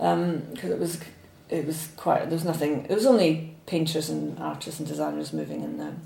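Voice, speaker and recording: Woman with a Scottish accent at a moderate pace, amid noticeable background noise. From Scotland, Falkirk. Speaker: illustrator and author. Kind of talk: interview. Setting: studio.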